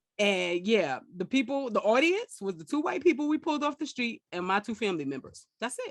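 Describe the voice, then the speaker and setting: At a fairly quick pace and with hardly any pauses, a woman talks at a fairly high pitch with very wide pitch swings, the sound dry and close with no echo. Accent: American. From New York. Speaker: comedian and podcast host. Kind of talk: casual chat. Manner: animated.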